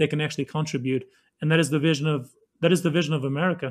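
Fairly even intonation in a Kosovar accent. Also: man. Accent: Kosovar Albanian-accented English. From Kosovo. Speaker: former refugee, government worker. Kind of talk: casual interview.

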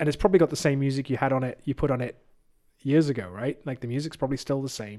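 A very fast-talking man with an English accent, medium pitch, ordinary pitch movement and a dark, mellow tone. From England. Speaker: youth leader and preacher. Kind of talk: casual chat. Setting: studio.

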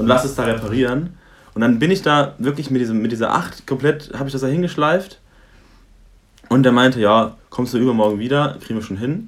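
Talking at a fairly quick pace, a man uses an ordinary speaking voice of medium pitch and ordinary pitch variation. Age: 20s. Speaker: student. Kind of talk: casual chat.

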